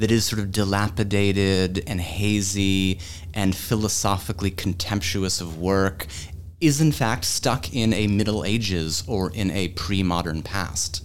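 A man with a Boston accent, his pitch very deep and low, with ordinary pitch variation and a fairly slow pace. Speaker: history professor. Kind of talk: academic panel conversation. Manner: articulate storyteller.

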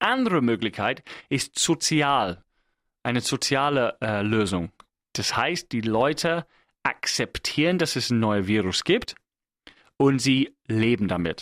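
In a very clean recording with a silent background, a man with an English accent speaks at a very slow pace and medium pitch, using lively intonation and long, frequent pauses. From England. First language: English (speaking German). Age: 30s. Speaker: podcast host. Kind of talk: solo monologue. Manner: halting.

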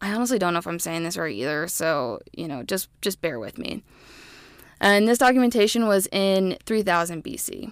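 A woman with an American accent speaks at a medium pitch and a moderate pace, with big swings in loudness. The recording is very clean, with a silent background. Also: lively intonation. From US Midwest, Illinois. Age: 20s. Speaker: podcast host, health educator. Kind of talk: casual educational monologue.

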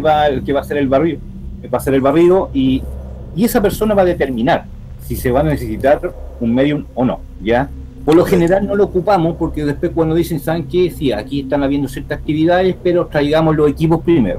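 A man talks with ordinary pitch variation while noticeable background noise continues. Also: fairly high pitch for a man, fairly quick pace. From Chile. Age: 40s. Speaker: paranormal investigator. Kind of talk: interview. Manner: halting.

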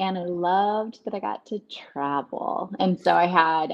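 A woman talks in an ordinary speaking voice, fairly low in pitch, with lively intonation. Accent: American. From Texas, Dallas-Fort Worth. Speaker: travel business owner, former lawyer. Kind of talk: casual interview. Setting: video call.

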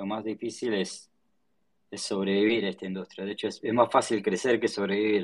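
At a moderate pace, a man speaks in a fairly low pitch with fairly even intonation and big swings in loudness. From Argentina, Patagonia (Choele Choel, Río Negro). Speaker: tech startup founder. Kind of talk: casual interview. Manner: halting, many repetitions and fillers.

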